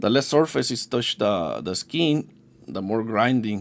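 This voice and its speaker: On a very clean recording with a silent background, a man with a non-native accent speaks at a moderate pace, fairly low in pitch, with lively intonation. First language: not English. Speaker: yo-yo maker. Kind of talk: product demonstration. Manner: halting, many fillers and restarts; casual.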